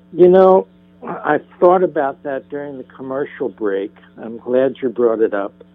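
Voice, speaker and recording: Over noticeable background noise, a man with an American accent talks fairly slowly at a medium pitch, his intonation lively and his loudness swinging widely. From northern New Jersey. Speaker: spiritual psychotherapist. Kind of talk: interview. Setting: phone call.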